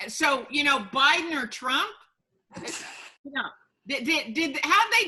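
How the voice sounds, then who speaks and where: The voice is raised and projected. It belongs to a woman. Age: 60s. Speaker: sociobiologist and futurist. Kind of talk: interview.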